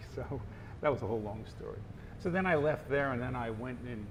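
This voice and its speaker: An American man with a somewhat breathy, medium-pitched voice talks at a very fast pace, with audible room echo. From United States. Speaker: marketing professor and author. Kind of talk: interview.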